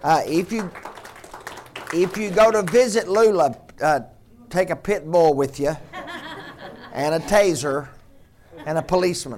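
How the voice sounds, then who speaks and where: A man's high voice with lively intonation, at a fairly slow pace with long, frequent pauses, over noticeable background noise. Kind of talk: church announcement turned playful mock auction. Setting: church.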